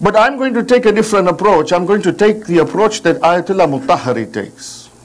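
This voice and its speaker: A man's high-pitched voice with lively intonation against noticeable background noise. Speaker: religious lecturer. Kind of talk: religious lecture. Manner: slow, deliberate.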